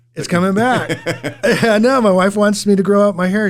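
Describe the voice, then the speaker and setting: There's noticeable background noise behind this man with an American accent. He talks at a high pitch and a fairly quick pace. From Southern California. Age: 50s. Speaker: real estate agent and radio show host. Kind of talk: radio show conversation.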